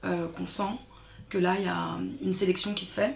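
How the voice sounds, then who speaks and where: A woman speaks at a fairly low pitch. Room echo can be heard. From France, Paris suburbs (Seine-Saint-Denis). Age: 30s. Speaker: activist, daughter of Congolese immigrant. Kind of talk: casual interview.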